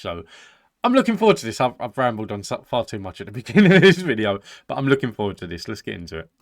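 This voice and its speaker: Over a very clean recording with a silent background, a man with a British accent talks at a very fast pace with lively intonation. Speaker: reaction video host. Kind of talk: casual chat to camera.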